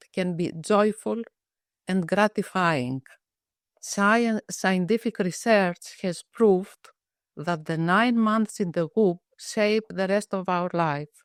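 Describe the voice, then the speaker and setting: The speaker talks at a very slow pace with a Greek accent. Loudness swings widely while pitch varies in an ordinary way. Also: woman, dry, close sound with no echo. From Greece. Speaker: psychiatrist. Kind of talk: interview. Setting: webinar.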